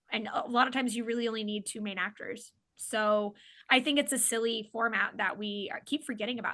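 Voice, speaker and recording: A woman's fairly high, bright, sharp voice with a slight Oklahoma accent at a moderate pace. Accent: slight Oklahoma accent on certain words. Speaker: comedian and filmmaker. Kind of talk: casual chat. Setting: podcast interview.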